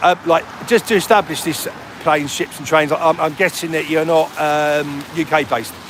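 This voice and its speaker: A man with a Cockney accent speaks at a moderate pace, his pitch fairly high and his intonation fairly even. Noticeable background noise runs under the recording. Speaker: livestreamer. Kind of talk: casual livestream chat. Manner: casual, conversational.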